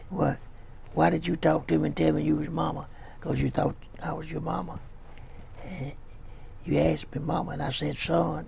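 With a Louisiana accent, a man talks through long, frequent pauses over noticeable background noise. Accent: US Southern (Louisiana). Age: 80s+. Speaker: pastor. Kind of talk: sermon.

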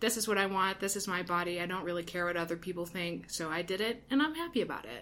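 Someone with an American accent talks at a very fast pace with hardly any pauses. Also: woman, medium pitch for a woman, ordinary pitch variation. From Ohio. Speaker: university residence hall director. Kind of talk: casual chat.

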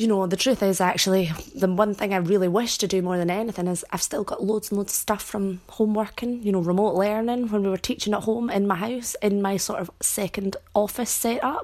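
In a Scottish accent, a woman talks at a fairly quick pace with hardly any pauses, her pitch medium and her intonation fairly even. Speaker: teacher and podcast host. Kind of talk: solo podcast monologue.

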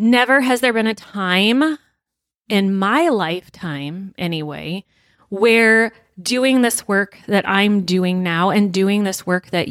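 Very slowly, a woman speaks at medium pitch. Her pitch variation is ordinary. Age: 40s. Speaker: podcast host and business coach. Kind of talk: unscripted monologue. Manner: impassioned.

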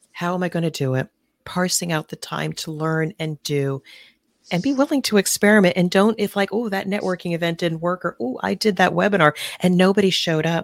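This woman has an unremarkable speaking voice, fairly low in pitch with ordinary pitch variation, talking at a fairly quick pace in a dry, close sound with no echo on a very clean recording with a silent background. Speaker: business consultant and author. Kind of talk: casual interview. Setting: live stream.

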